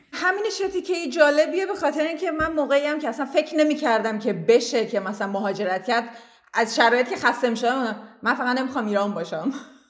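Very fast delivery from a woman with a high pitch and very wide pitch swings, over noticeable background noise. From Iran, Tehran. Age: 30s. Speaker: immigrant interviewee. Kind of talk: interview, personal story.

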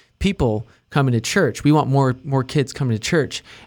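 A man speaks in a plain, everyday voice at medium pitch, with ordinary pitch variation. His pace is moderate, and the recording is very clean with a silent background. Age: 20s. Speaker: church musician. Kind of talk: casual chat.

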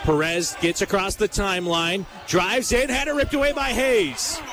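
A man speaks with lively intonation. Noticeable background noise runs under his voice. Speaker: basketball play-by-play announcer. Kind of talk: live sports commentary, play-by-play. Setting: gym broadcast, live radio game. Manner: rapid, fluent play-by-play with brisk, clipped sentences.

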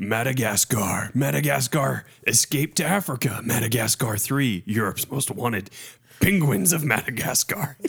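A man does a put-on character voice at a medium pitch. His pitch swings very widely at a moderate pace.

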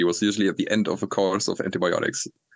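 A man with a German accent, talking at a very fast pace. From northern Germany. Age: 30s. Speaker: traveler. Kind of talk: casual chat.

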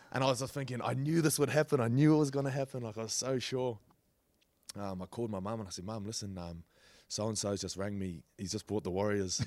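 At a very fast pace, the speaker talks with a New Zealand accent and ordinary pitch variation. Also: man, medium pitch for a man. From New Zealand, Auckland. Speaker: rugby league player. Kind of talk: casual chat.

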